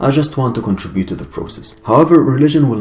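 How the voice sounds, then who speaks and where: Music plays in the background. A man with an Arabic accent speaks with lively intonation. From Egypt. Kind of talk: personal testimony monologue.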